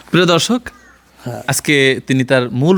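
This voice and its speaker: An ordinary speaking voice, its pitch moving up and down in a usual way. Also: man. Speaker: journalist. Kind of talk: field interview and report. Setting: on location at interviewee's home.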